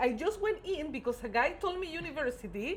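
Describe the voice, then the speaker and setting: A woman speaks with a non-native accent, her high pitch moving in very wide swings. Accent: non-native English pronunciation. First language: not English. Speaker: podcast co-host. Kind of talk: casual chat.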